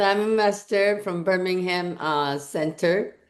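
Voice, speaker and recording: In a quiet background, a woman talks at a medium pitch with fairly even intonation. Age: 60s. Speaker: network marketing distributor. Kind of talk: testimony. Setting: video call. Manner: halting.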